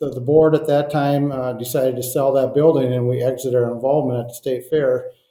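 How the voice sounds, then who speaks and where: A man with a Minnesotan accent talks at a moderate pace and medium pitch, his intonation fairly even. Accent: Minnesota. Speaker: propane trade association director. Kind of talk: podcast interview. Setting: call.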